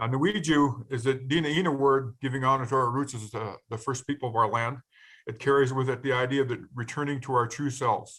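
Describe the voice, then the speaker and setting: A normal speaking voice at a fairly quick pace, with fairly even intonation. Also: man, medium pitch for a man. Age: 60s. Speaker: peer learning specialist, formerly incarcerated. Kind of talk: webinar presentation.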